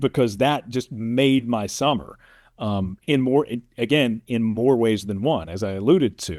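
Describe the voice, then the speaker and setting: With an ordinary speaking voice, a man talks at medium pitch and a fairly slow pace with ordinary pitch variation, in a dry, close sound with no echo on a very clean recording with a silent background. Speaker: sportscaster, play-by-play announcer. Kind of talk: casual interview answer, telling career story.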